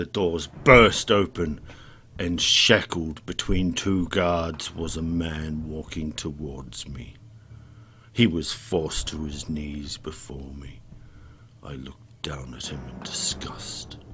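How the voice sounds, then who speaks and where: A man uses a put-on character voice, very deep and low, at a fairly slow pace with ordinary pitch variation. His loudness swings widely over clear background noise. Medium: read story. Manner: commanding, indignant.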